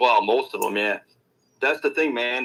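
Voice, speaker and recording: This is a man speaking. He has a Newfoundland accent. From Newfoundland, Canada. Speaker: rap commentary youtuber. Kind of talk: casual interview chat.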